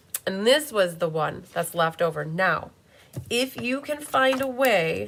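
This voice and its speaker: Her pitch swings very widely around a medium level. The woman speaks at a fairly slow pace over noticeable background noise. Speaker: card-making demonstrator. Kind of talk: live craft tutorial. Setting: YouTube live stream. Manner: animated.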